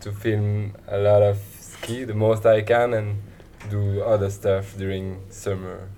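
With a French accent, a man speaks at a fairly low pitch. Audible room echo surrounds his voice. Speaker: ski filmmaker. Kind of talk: casual interview.

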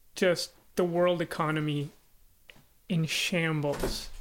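At a very slow pace, a man talks with a high pitch. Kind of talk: casual chat. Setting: video call.

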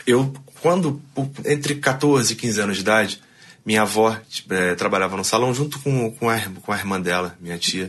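With ordinary pitch variation, a man talks at a moderate pace against a quiet background. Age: 30s. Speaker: barber and rock musician. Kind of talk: interview. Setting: studio. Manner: animated.

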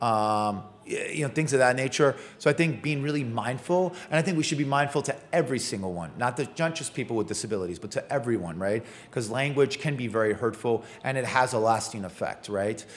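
Here a man talks in a normal speaking voice with an American accent, at medium pitch. His pace is fairly quick and his intonation is lively. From New York City. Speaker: sommelier and restaurateur. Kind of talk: casual interview chat.

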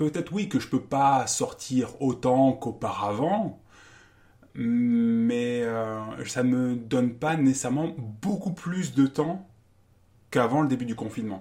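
A man at medium pitch, speaking at a very slow pace with ordinary pitch variation. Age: 40s. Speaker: math teacher and writer. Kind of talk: interview. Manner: halting.

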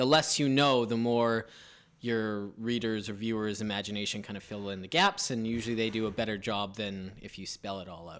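A man in a normal speaking voice, fairly low and fairly quick, with big swings in loudness. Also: fairly even intonation. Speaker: podcast co-host and writer. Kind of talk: casual chat.

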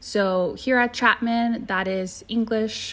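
Here a woman speaks very slowly in a Californian accent. Her pitch varies in an ordinary way. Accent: Californian American English. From Southern California, Orange County. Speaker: university admission counselor. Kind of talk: informational podcast interview. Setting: remote recording.

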